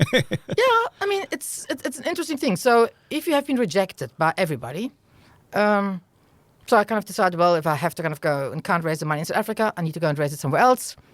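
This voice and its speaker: The voice carries a German accent and moves at a very fast pace. Its pitch swings very widely. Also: woman, medium pitch for a woman. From Germany. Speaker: venture capital investor. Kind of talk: interview. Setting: podcast recording.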